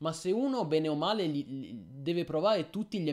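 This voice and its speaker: The speaker is a man, and the background is quiet. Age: 30s. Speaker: gaming streamer. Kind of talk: live stream chat. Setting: live stream. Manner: halting. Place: home room.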